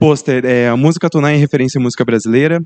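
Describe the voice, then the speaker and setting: With a dark, mellow tone, a man speaks at a fairly high pitch with ordinary pitch variation, in dry, close sound with no echo. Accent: Brazilian. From Brazil. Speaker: student researcher presenting a poster. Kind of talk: conference presentation. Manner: halting, many fillers.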